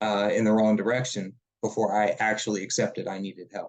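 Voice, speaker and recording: With a Southern US accent, a man speaks at a fairly quick pace in a fairly low pitch with ordinary variation. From South Carolina. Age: 30s. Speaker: mental health peer supporter and nonprofit director. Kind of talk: webinar presentation.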